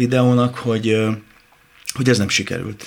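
Over noticeable background noise, a man speaks at a medium pitch and a moderate pace. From rural Hungary, village. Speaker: actor and singer. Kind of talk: radio interview.

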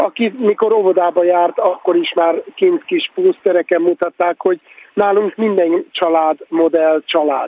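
Noticeable background noise sits behind a man with a high pitch. He speaks at a fairly slow pace with ordinary pitch variation. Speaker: filmmaker. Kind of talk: radio discussion. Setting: remote line, walking in a street.

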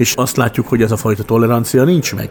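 Through noticeable background noise, a man at medium pitch talks at a fairly quick pace with ordinary pitch variation. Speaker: educator and former mayor. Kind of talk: interview.

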